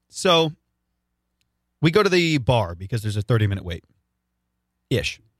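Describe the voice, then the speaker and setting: A man with an American accent at a medium pitch, animated and somewhat breathy, with very wide pitch swings, a moderate pace and long, frequent pauses, in a dry, close sound with no echo. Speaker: radio co-host. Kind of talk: casual chat.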